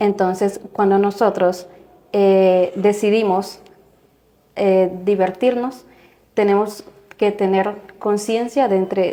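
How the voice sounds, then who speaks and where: A woman at medium pitch, very slow pace, long, frequent pauses and fairly even intonation. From Guatemala. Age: 20s. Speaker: religion student. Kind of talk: religious discussion.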